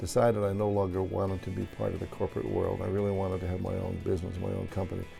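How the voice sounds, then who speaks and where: Over music in the background, the speech runs very fast with hardly any pauses and a monotone, flat intonation. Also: man, very deep, low pitch for a man. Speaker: stadium public address announcer. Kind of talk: interview answer.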